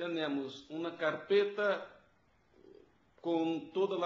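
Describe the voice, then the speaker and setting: With audible room echo, a man speaks in a high pitch with ordinary pitch variation and a Portuguese accent. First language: Portuguese (speaking Spanish). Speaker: auditor at a public audit institution. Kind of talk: videoconference consultation. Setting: video call.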